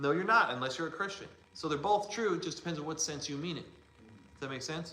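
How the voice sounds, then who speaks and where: Over noticeable background noise and audible room echo, a man with a high voice talks at a very fast pace in an animated tone with lively intonation. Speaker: church teacher. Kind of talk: lecture. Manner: loud.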